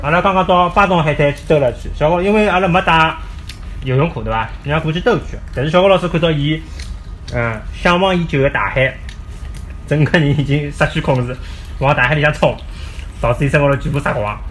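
A man's fairly high voice at a fairly quick pace, broken by long, frequent pauses, with ordinary pitch variation and noticeable background noise. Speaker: parent podcaster. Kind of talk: casual chat. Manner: animated.

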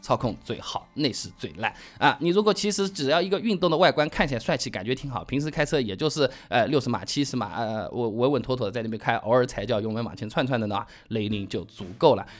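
Talking at a very fast pace with hardly any pauses, a man with a southern Chinese accent uses a medium pitch, very wide pitch swings and an animated tone. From southern China. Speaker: car podcast host. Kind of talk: casual listener Q&A monologue.

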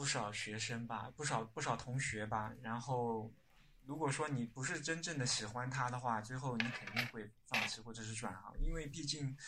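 A man talks at a moderate pace in an ordinary speaking voice. His pitch is medium and his intonation fairly even. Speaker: architect. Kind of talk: casual chat.

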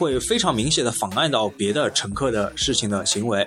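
Noticeable noise fills the background. Over it, a man talks at a moderate pace. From Shanghai, China. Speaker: university student podcast host. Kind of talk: casual chat.

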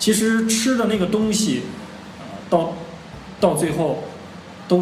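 Long, frequent pauses break up a man's high-pitched speech, with audible room echo and noticeable background noise. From China, Xi'an. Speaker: podcast host, retail professional. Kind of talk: casual chat.

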